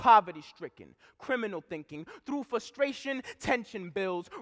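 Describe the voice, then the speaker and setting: A man's raised, projected voice, bright and sharp in tone, in a very clean recording with a silent background and a dry, close sound with no echo. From Providence, Rhode Island. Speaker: spoken word poet. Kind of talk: spoken word poetry performance. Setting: live conference stage.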